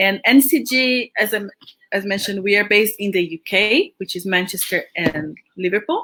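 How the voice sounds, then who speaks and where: A woman with a Brazilian accent talks with lively intonation. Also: medium pitch for a woman, moderate pace. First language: Portuguese. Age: 40s. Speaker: education agency representative. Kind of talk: interview. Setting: livestream.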